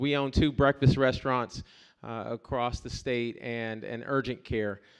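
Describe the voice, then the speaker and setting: A man with an ordinary speaking voice talks in an American accent at medium pitch. His pitch varies in an ordinary way over a quiet background. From US South, Columbus, Georgia. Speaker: political candidate. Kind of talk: campaign speech at forum.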